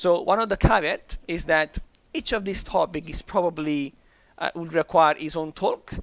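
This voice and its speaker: On a very clean recording with a silent background and a dry, close sound with no echo, a man with a high pitch speaks at a moderate pace. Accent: Italian. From Italy. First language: Italian. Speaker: conference speaker. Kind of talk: conference talk. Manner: halting, with repetitions.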